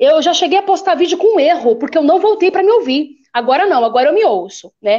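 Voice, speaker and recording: A woman's extremely high voice swings very widely in pitch at a moderate pace. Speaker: bishop and preacher. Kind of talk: casual chat. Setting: live stream. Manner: loud.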